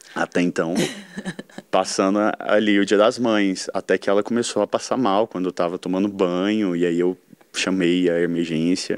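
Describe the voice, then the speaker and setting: A man speaks with a very deep, low pitch and fairly even intonation. The sound is dry, with no echo. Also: moderate pace. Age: 20s. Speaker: architect, leukemia survivor. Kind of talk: personal testimony. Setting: studio. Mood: reflective, warm. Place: studio. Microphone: studio mic.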